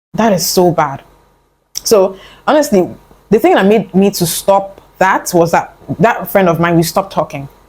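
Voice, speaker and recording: A woman at a medium pitch sounds somewhat breathy and animated, with lively intonation, very even loudness and long, frequent pauses. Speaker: self-improvement vlogger. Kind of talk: casual talk to camera. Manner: fast.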